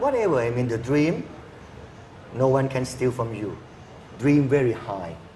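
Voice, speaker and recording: In a Thai accent, a man speaks at medium pitch and a moderate pace with ordinary pitch variation. Long, frequent pauses break up his speech, and the room echo is audible. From rural Thailand. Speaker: engineer and university lecturer. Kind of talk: TV interview.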